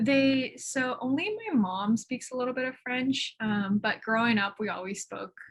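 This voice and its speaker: A woman's fairly high, somewhat breathy voice with ordinary pitch variation, at a moderate pace. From Montreal, Quebec. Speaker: artist. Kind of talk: interview. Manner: casual, many fillers.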